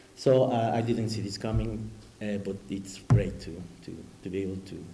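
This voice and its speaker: Audible room echo surrounds a man speaking with a Spanish accent. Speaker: academic discussant. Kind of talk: academic commentary. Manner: halting.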